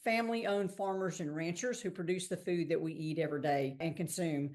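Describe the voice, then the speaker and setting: A woman with a Texan accent speaks over a quiet background. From Texas. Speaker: investment fund founder. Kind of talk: podcast interview.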